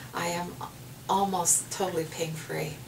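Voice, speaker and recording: Noticeable background noise and audible room echo around a woman speaking. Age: 60s. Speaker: patient giving a testimonial. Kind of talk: testimony. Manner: halting, with many fillers and repeats.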